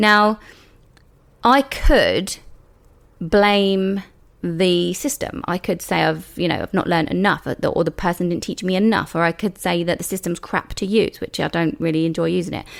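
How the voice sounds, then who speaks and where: Heard in a very clean recording with a silent background, the speaker has a British accent and a moderate pace. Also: woman, medium pitch for a woman, ordinary pitch variation. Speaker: beauty business coach and podcast host. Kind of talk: solo podcast monologue. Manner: casual, conversational.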